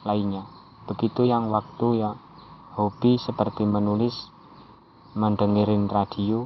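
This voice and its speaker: In a strong Javanese accent, a man speaks at a fairly low pitch and fairly slow pace. His intonation is monotone and flat. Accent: thick Javanese accent in Indonesian. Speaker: amateur writer. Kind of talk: personal monologue reading own writing.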